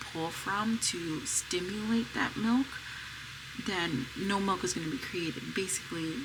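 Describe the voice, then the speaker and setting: Soft-spoken and fairly slow, the speaker has an American accent, with noticeable background noise and audible room echo. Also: woman. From US, Pennsylvania. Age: 30s. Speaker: mom vlogger. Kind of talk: casual vlog talk. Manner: soft, low voice.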